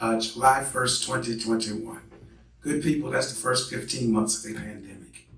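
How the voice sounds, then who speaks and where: A man talks amid noticeable background noise, with audible room echo around him. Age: 60s. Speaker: professor. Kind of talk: lecture. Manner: animated.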